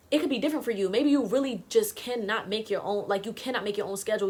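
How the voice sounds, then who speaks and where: A woman talks at a very fast pace with a fairly high pitch and ordinary pitch variation. Noticeable background noise is present. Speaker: YouTuber and musician. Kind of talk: casual vlog monologue. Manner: loud.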